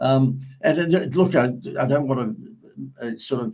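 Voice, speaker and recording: With an Australian accent, a man talks at a moderate pace. His pitch is medium. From Australia, Sydney suburbs. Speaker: marketing agency owner. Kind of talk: interview conversation.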